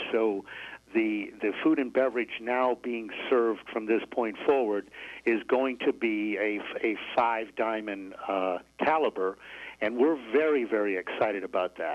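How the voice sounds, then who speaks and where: Pacing himself fairly slowly, a man with an American accent speaks at a medium pitch with ordinary pitch variation in an unremarkable speaking voice. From Syracuse, New York. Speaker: resort manager. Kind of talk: radio interview.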